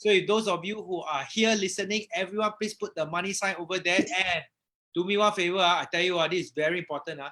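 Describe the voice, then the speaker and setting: Speaking at a very fast pace in a Malaysian accent, a man uses a raised, projected voice with high pitch. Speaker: property investor and live-stream host. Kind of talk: live stream introduction. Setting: Facebook live stream. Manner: animated.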